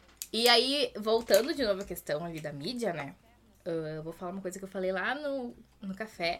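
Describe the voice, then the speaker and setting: A woman speaks at a medium pitch and a moderate pace. Her pitch swings very widely, and her loudness rises and falls sharply. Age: 20s. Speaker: history teacher. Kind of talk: casual interview.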